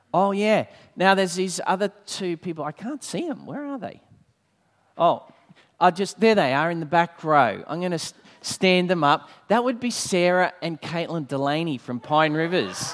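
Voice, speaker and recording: A man speaks with an Australian accent. His voice is high, with lively intonation. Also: moderate pace. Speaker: church leader and preacher. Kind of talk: sermon. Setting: church with congregation.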